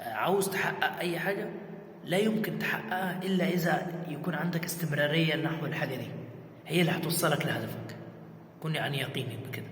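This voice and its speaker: A man with an Egyptian accent and a high pitch, moderate in pace and fairly even in intonation, amid noticeable background noise and audible room echo. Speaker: content creator. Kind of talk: casual vlog talk. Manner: halting, many repetitions; raising voice to be heard.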